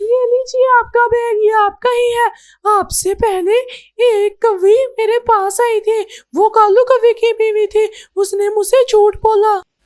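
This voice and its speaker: This cartoonish character voice sounds female and extremely high in pitch. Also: fairly slow pace. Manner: polite, principled.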